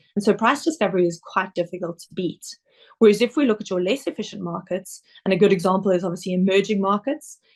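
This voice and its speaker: A woman with a South African accent, medium pitch, a very fast pace, and ordinary pitch variation. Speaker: investment director. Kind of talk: webinar presentation. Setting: online webinar.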